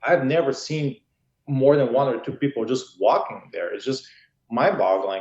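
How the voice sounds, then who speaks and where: Moderate pace from a man at a fairly high pitch. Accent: Bulgarian. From Bulgaria. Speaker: political candidate, highway patrol officer. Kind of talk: interview.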